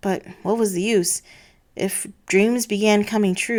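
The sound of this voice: The voice is an unforced reading voice with fairly even intonation.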